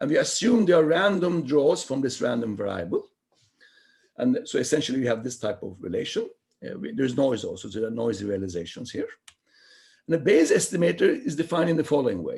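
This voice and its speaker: Speaking at a very fast pace, a man with a fairly high pitch uses vocal fry and very wide pitch swings. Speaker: mathematics researcher giving seminar talk. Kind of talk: lecture.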